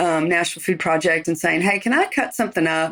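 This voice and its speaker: An ordinary speaking voice from a woman at a fairly low pitch, in a very clean recording with a silent background. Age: 60s. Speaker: chef. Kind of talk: interview. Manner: casual.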